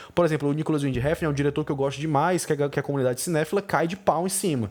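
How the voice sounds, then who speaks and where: An animated tone marks this man's speech, which sits fairly high in pitch. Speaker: film critic podcast host. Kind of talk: podcast monologue. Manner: fast.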